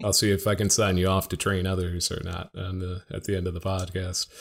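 Very deep and low in pitch, this man talks in a monotone with flat intonation. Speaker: accreditation expert. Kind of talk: casual interview chat. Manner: joking, light-hearted.

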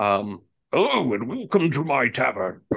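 The man puts on a character voice, pitched in the middle range. He speaks at a fairly slow pace.

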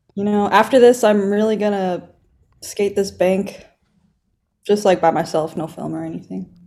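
In a Californian accent, the voice has a dark, mellow tone and fairly even intonation at a moderate pace. Long, frequent pauses break it up, and the loudness swings widely. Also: woman, medium pitch for a woman. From Los Angeles County. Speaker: sponsored skateboarder. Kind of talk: casual interview.

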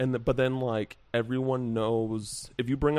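With an American accent, a man speaks in an unremarkable speaking voice at medium pitch with fairly even intonation. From Henderson, Nevada (Las Vegas area). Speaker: games journalist. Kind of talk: casual chat.

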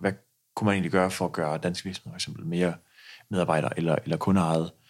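A man speaks with a very deep, low pitch. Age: 20s. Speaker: pension company founder. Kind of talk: interview.

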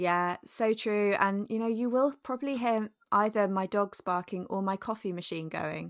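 With a British accent, a woman talks with ordinary pitch variation and hardly any pauses on a very clean recording with a silent background. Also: medium pitch for a woman, moderate pace. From UK. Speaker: podcast co-host. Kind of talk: casual chat.

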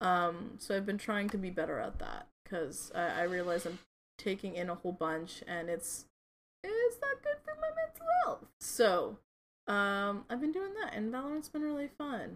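Music in the background behind a woman's moderately paced speech. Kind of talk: casual chat.

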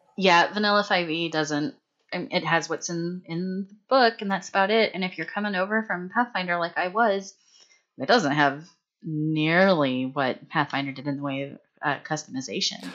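A woman with an ordinary speaking voice talks at a moderate pace, her fairly low pitch rising and falling in a lively way. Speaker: returning guest, tabletop RPG player. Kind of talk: casual chat about gaming. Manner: casual, joking, profane.

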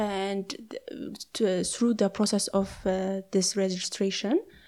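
Recorded very cleanly against a silent background, a woman with a dark, mellow tone speaks at a medium pitch, fairly slowly, with fairly even intonation. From Ethiopia. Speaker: architect. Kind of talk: interview conversation. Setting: on location at a historic site. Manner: halting, many hesitations.

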